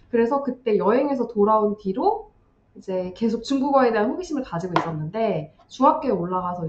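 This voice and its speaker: A woman's fairly high, fairly quick voice with very wide pitch swings, over noticeable background noise. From South Korea. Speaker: YouTuber on studying in China. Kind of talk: casual chat.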